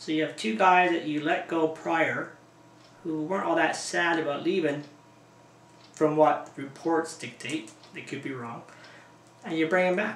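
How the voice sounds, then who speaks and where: Amid noticeable background noise and audible room echo, a man talks at a fairly slow pace in a high pitch with ordinary pitch variation. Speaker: hockey fan vlogger. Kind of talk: casual video blog. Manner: animated.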